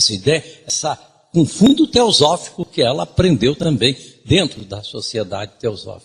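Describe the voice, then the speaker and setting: With very wide swings in pitch, a man talks in a fairly high voice. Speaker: lecturer. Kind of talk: lecture.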